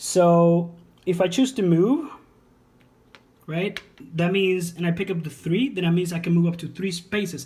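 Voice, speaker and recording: With long, frequent pauses, a man with a non-native accent speaks at a high pitch in a dark, mellow tone. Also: ordinary pitch variation, moderate pace. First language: not English. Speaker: board game reviewer. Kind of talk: casual board game tutorial talk to camera. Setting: home.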